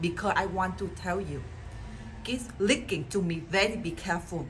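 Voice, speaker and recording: A woman speaks at a moderate pace with light background noise behind her. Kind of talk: scripted comedy dialogue. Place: home room. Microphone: phone near.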